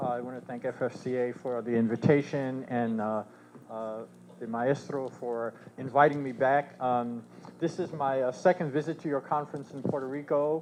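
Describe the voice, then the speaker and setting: This man's voice sits at medium pitch. He talks at a moderate pace with fairly even intonation. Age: 60s. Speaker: researcher and professor, keynote speaker. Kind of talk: conference keynote speech. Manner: halting, many fillers.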